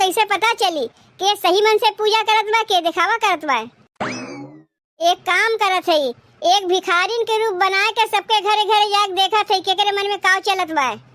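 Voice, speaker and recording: A woman puts on a cartoonish character voice, pitched extremely high. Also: moderate pace. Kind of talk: village comedy cartoon. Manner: soft, unhurried.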